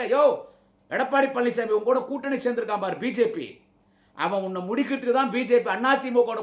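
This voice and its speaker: This man's voice sits extremely high in pitch. His pitch varies in an ordinary way. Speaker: political party orator / campaign speaker. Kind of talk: angry political rally speech.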